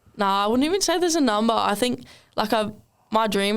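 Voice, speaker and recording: A woman with an Australian accent over noticeable background noise. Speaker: professional rugby league winger. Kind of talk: casual podcast interview.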